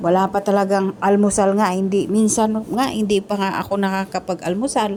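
A woman talks in a monotone, flat intonation while noticeable background noise carries on. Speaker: domestic worker vlogger. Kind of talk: vlog voice-over.

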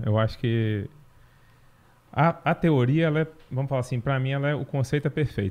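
His voice sits at a medium pitch. The pitch moves up and down in an ordinary way for this man. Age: middle-aged. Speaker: veterinarian and horse trainer, university professor; horse trainer, university professor. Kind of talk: interview. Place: studio. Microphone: studio mic.

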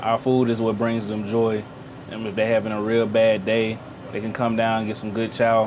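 Someone with a Memphis accent speaks in a monotone, flat intonation over noticeable background noise. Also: man, medium pitch for a man, moderate pace. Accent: Southern US (Memphis). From US South (Memphis, Tennessee); Tennessee. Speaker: navy sailor, culinary specialist. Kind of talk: interview and tour. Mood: relaxed, positive. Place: boat.

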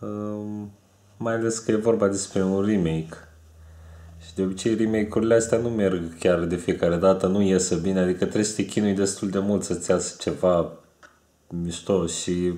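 A man speaks at a moderate pace with a fairly low pitch and a dark, mellow tone, his intonation monotone and flat. There is audible room echo, but the background is quiet. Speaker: vlogger. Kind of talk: casual vlog chat about cartoons. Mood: relaxed, smiling. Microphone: webcam.

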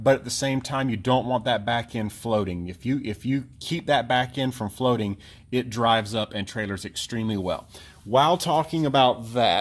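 Ordinary pitch variation runs through the speech. The tempo is moderate. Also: man. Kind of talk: tutorial. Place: garden. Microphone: phone near.

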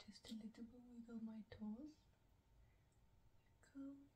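Soft-spoken woman, high in pitch, with a dark, mellow tone, fairly even intonation, a fairly slow pace and light background noise. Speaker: ASMR creator. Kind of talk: ASMR relaxation talk. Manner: whispered. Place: home room.

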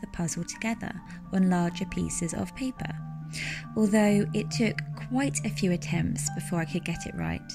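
Music is audible in the background. A woman talks at a moderate pace. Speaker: woodland forager and pagan/witch content creator. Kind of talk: casual talk to camera, relaxing vlog narration.

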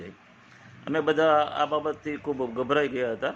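Fairly even intonation in a plain, everyday voice. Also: man. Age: 60s. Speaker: naturopath and journalist. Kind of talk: testimony.

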